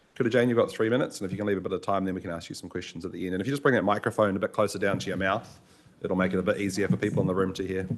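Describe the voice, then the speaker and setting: A man with a New Zealand accent talks at a very fast pace. His pitch is fairly low. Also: ordinary pitch variation. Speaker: committee chair. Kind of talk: chairing a council meeting.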